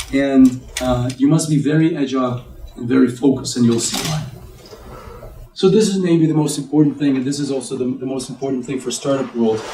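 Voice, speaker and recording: Against noticeable background noise, a man of medium pitch talks at a fairly quick pace with fairly even intonation. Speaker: tech executive and investor speaker. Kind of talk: business talk to an audience.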